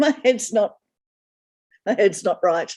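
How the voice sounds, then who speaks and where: A woman talks at a fairly slow pace. Her voice is fairly high in pitch, with a dark, mellow tone. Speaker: library friends group representative. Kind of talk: meeting report.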